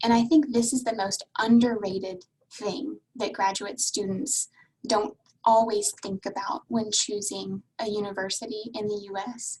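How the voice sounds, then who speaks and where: At a fairly slow pace, a woman with a fairly high pitch talks in a somewhat breathy voice with ordinary pitch variation. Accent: American. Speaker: university international admissions advisor. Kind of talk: webinar presentation. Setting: video call.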